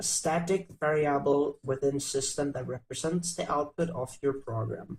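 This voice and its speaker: Somewhat breathy, a man with a non-native accent speaks at a moderate pace in a fairly high voice with fairly even intonation. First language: not English. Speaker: coding tutorial youtuber. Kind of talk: tutorial. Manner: halting.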